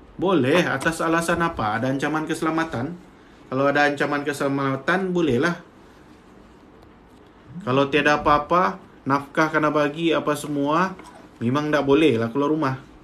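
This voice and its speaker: A man with a Sabahan accent speaks at a moderate pace and a fairly high pitch, with fairly even intonation and long, frequent pauses. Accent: Sabahan Malay. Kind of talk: explaining legal matters plainly.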